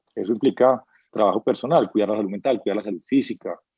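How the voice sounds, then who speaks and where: A man talks at a very fast pace. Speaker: business executive. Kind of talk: interview. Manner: animated.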